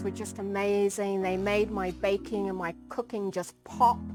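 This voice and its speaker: Heard over a silent background, a woman's voice comes through on a very clean recording. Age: 50s. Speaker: vanilla farmer and entrepreneur. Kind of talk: personal interview answers. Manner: hesitant, many fillers.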